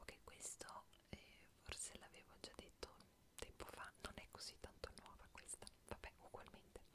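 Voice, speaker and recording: Over noticeable background noise, a soft-spoken woman whispers. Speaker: streamer. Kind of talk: casual stream chat reading trivia. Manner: soft close whisper, intimate. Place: home room. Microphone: earbuds.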